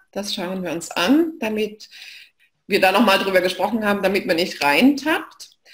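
This woman talks at a moderate pace. Her intonation is lively. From Saxony, eastern Germany (Leipzig); Saxony. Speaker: knowledge management expert; presenter. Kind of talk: online lecture / live session. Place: home room.

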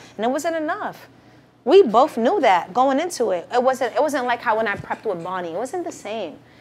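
Over noticeable background noise, a woman talks at a fairly quick pace with a high pitch and very wide pitch swings. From Boston. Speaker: battle rapper. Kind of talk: casual interview chat.

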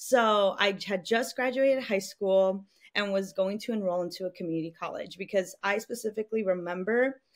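Against a quiet background, a woman speaks at a moderate pace with ordinary pitch variation and hardly any pauses. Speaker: podcast guest. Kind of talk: interview answer. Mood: warm, animated. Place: home room. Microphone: studio mic.

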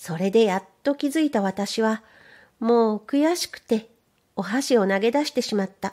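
Her voice fairly high with a dark, mellow tone, a woman speaks at a fairly slow pace in a calm tone with lively intonation. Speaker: audiobook narrator. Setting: studio. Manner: calm, unhurried, measured pace with clear enunciation.

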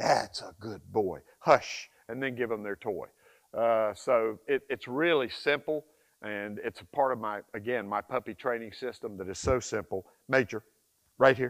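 With a quiet background, a man speaks at a fairly slow pace in an animated tone, with big swings in loudness and ordinary pitch variation. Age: 60s. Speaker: dog trainer. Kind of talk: tutorial. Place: forest. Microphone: lapel.

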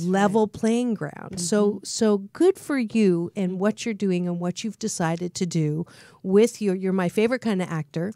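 The voice has a dark, mellow tone and ordinary pitch variation, recorded dry with no echo against a quiet background. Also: woman, medium pitch for a woman, fairly slow pace. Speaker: talk show host. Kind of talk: radio talk show interview. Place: studio. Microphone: studio mic.

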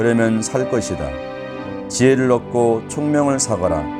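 A man with a medium-pitched voice talks at a fairly slow pace while music plays in the background. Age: old. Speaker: grandfather reading scripture. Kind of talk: scripture reading for children.

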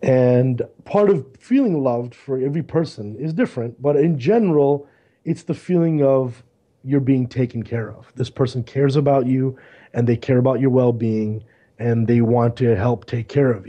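A man with an American accent and a normal speaking voice talks at a moderate pace, medium in pitch with ordinary pitch variation. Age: 40s. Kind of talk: casual chat.

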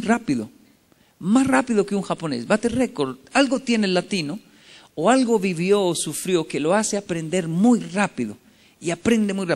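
A man speaks at a high pitch with lively intonation and an animated tone. The background is quiet. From Colombia and Japan. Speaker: motivational speaker. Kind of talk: motivational talk. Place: hall. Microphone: podium.

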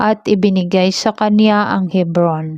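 A woman speaks at a fairly slow pace in a flat monotone. The background is quiet. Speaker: religious sister reading scripture. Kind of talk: scripture reading aloud.

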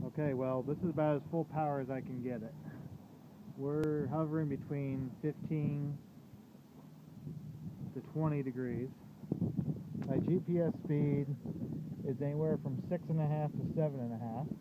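A man talks at a moderate pace with long, frequent pauses, his dry sound carrying no echo beneath loud background noise. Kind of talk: casual vlog chat. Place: boat. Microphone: phone near.

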